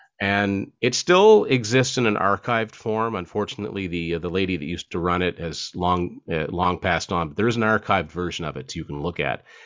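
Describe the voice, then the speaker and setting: A man with an ordinary speaking voice talks fairly quickly at a fairly low pitch, with ordinary pitch variation. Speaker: author and music collector. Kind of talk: casual chat.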